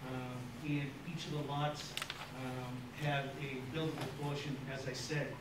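A man's moderate-paced speech comes with noticeable background noise and audible room echo. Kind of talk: formal presentation to a board. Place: meeting room.

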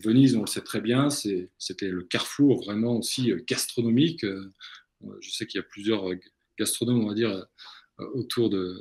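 With an unremarkable speaking voice, this man talks at a fairly low pitch with ordinary pitch variation. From Brittany, France. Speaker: coffee entrepreneur, webinar co-host; webinar co-host. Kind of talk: webinar presentation. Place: home room. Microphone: video call.

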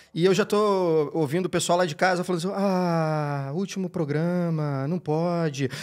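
His voice sits high for a man. The intonation is fairly level throughout. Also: moderate pace, hardly any pauses, quiet background. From Brazil. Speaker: podcast co-host; podcast host. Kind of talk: casual chat. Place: studio. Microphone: studio mic.

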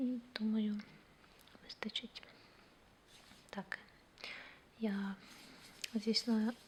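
Soft-spoken and fairly high-pitched, a woman talks at a very slow pace. Her intonation is monotone and flat, with long, frequent pauses. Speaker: ASMR creator. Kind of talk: ASMR personal attention role play.

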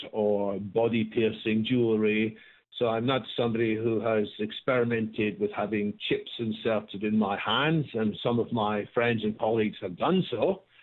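The setting around this man is quiet. He talks at a moderate pace. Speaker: radio guest. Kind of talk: interview answer.

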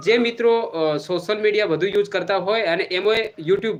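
A man talks with fairly even intonation. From Gujarat, Banaskantha, Vav taluka. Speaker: YouTuber and local political worker. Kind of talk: live stream address to viewers.

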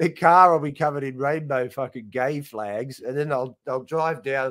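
The speaker has an Australian accent and a moderate pace. The intonation is fairly even, and the background is quiet. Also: man. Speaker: comedian. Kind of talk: casual chat. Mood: irreverent, joking, expletives. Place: home room.

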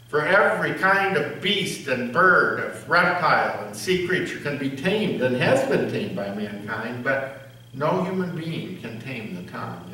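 Audible room echo surrounds a man speaking at a fairly slow pace. His pitch swings very widely. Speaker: pastor or lay reader. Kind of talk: scripture reading. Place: church. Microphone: podium.

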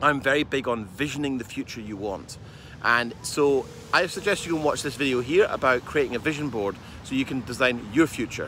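At a fairly quick pace, a man talks with ordinary pitch variation. The sound is dry with no echo, over light background noise. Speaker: business coach. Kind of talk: casual vlog chat. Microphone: phone near.

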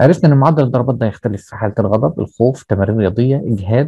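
A man's medium-pitched, somewhat breathy voice with a dark, mellow tone and an Egyptian accent, at a fairly quick pace with ordinary pitch variation, in a dry sound with no echo and a quiet background. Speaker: teacher. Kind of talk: lecture. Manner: explanatory, repetitive with filler checks. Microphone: video call.

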